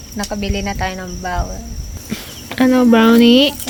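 At a fairly slow pace and with fairly even intonation, the voice comes through noticeable background noise and audible room echo. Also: woman. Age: 30s. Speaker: vlogger. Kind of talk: casual vlog chat. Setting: outdoors at a hut.

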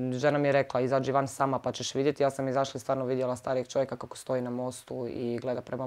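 A woman speaks at a very fast pace in a very deep, low pitch. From Zagreb, Croatia; Croatia. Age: 30s. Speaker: victim of assault. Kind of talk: testimony. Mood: upset, serious. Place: home room. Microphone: lapel.

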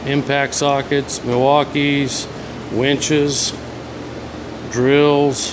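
Over noticeable background noise, a man with a fairly high pitch talks very slowly in a flat monotone, leaving long, frequent pauses. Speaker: auctioneer. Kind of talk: auctioneer's walkthrough of sale items, sales pitch on video. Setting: video walkthrough of an auction venue. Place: workshop. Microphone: phone near.

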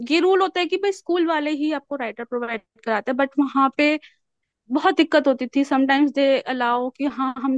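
Against a quiet background, a woman speaks at a moderate pace in a high voice with ordinary pitch variation, the sound dry and close with no echo. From Meerut, Uttar Pradesh, India. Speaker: radio jockey, YouTuber and teacher. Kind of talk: interview.

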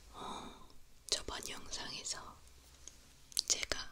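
A woman is whispering. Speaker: ASMR creator. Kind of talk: ASMR ear cleaning with chatty talk. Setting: binaural microphone studio. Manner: soft-spoken, whispering, casual chat. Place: home room. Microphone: studio mic.

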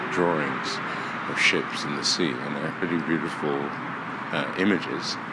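A man talks at a fairly slow pace over loud background noise. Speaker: walking tour guide. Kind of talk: casual walking commentary. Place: tunnel cave. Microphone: phone near.

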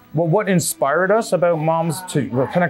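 There is faint music in the background. A man speaks at a moderate pace. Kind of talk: interview answer. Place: bar. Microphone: lapel.

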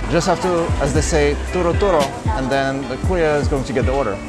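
A man talks at a fairly quick pace over clear music in the background. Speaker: travel vlogger. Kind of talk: casual vlog chat. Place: cafe. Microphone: phone near.

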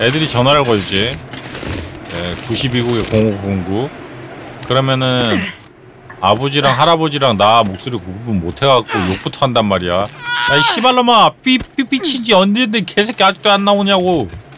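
At a moderate pace, a man with a medium pitch speaks with very wide pitch swings over noticeable background noise. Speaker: game streamer. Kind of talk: live gameplay commentary. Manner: animated.

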